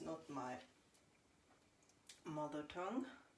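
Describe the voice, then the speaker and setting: A woman speaks with audible room echo. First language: Norwegian. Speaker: home baker. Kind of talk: casual chat. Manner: halting.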